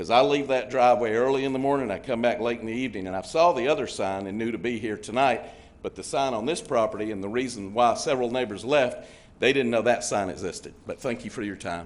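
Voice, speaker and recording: The voice moves at a very fast pace with ordinary pitch variation. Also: man, medium pitch for a man. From Georgia, Henry County. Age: 60s. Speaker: resident speaking at public hearing. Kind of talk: public comment at zoning meeting.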